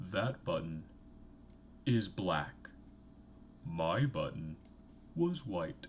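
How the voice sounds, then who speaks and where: A man puts on a character voice, speaking very slowly at a fairly low pitch with very wide pitch swings, long, frequent pauses and clear background noise. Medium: read story. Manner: complaining, easily upset.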